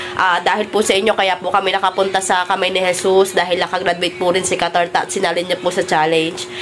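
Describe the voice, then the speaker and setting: With music in the background, a woman speaks very fast at a medium pitch in a monotone, flat way, with very even loudness and hardly any pauses. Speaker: vlogger. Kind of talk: casual vlog narration. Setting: outdoors by a van, then at home.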